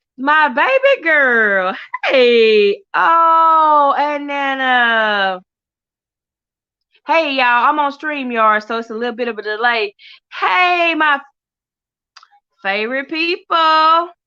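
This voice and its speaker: In a quiet background, a woman with an American accent projects a raised voice with a high pitch, a bright, sharp tone and lively intonation, speaking at a very slow pace with long, frequent pauses. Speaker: livestream host. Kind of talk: casual livestream chat. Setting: livestream from phone.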